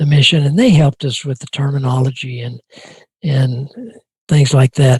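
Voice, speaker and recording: Here is a man with a fairly high pitch and an American accent, his voice somewhat breathy. The sound is dry and close with no echo. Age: 80s+. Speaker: retired NASA flight director. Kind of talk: interview answer.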